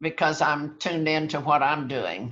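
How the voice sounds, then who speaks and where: A woman speaks at a fairly slow pace in a very deep, low voice with fairly even intonation and a bright, sharp tone. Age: 80s+. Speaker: mystery author. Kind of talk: interview.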